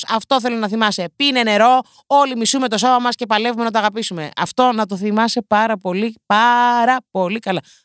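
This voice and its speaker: Recorded very cleanly against a silent background, a woman talks at a fairly quick pace in an animated tone, the sound dry and close with no echo. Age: 20s. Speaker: podcast host. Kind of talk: comedic monologue.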